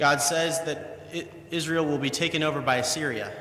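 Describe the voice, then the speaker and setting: With noticeable background noise behind him, a man talks at a moderate pace. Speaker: preacher giving a sermon. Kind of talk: sermon.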